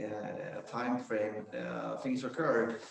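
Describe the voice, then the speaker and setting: A man with a Swedish accent speaks amid audible room echo. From Sweden. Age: 60s. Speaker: business founder and ski coach. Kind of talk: panel discussion.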